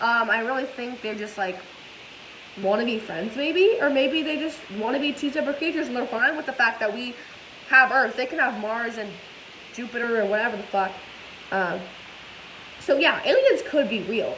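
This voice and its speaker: With long, frequent pauses, a woman talks at a moderate pace in a high voice with ordinary pitch variation, amid audible room echo and noticeable background noise. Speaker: vlogger. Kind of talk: casual vlog chat. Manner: energetic.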